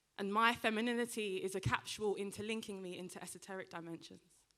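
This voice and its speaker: At a moderate pace, a woman talks with a bright, sharp tone, medium pitch and fairly even intonation. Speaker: spoken word poet. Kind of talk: spoken word performance. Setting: stage with audience.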